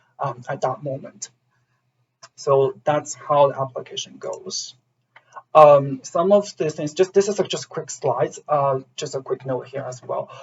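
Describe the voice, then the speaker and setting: This man's voice is somewhat breathy and fairly high, with ordinary pitch variation. He speaks fairly slowly, and his loudness swings widely. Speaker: university program admissions staff. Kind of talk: online info session presentation. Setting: zoom session. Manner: hesitant, many fillers.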